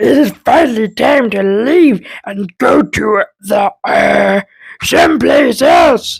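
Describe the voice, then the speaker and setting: A woman uses a raspy, put-on character voice with a high pitch. She speaks at a very slow pace. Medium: read story.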